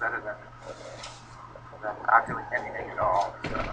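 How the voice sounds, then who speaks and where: A man with an American accent talks at a fairly slow pace. Music plays in the background. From Long Island, New York. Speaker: addiction recovery coach. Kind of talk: street outreach conversation. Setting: outdoors on the street. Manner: casual, conversational.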